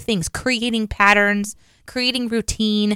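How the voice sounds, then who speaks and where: With a Midwestern American accent, a woman of fairly high pitch speaks at a moderate pace, recorded dry and close with no echo. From US Midwest. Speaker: podcast co-host. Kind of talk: casual chat.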